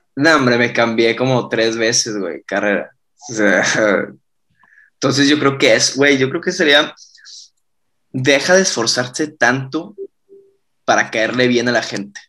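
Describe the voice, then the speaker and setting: Speaking at a fairly slow pace with long, frequent pauses, a man uses a medium-pitched voice with a bright, sharp tone. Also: ordinary pitch variation. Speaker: rock band singer. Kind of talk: casual interview chat.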